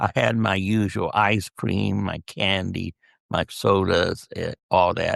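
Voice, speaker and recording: The man talks at a very slow pace. His voice sounds dry and close, with no echo. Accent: American. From US Southwest, southern California (El Centro). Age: 80s+. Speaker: retired-age dentist, guest interviewed by his daughter. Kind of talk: interview, personal life story. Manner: conversational, reflective storytelling.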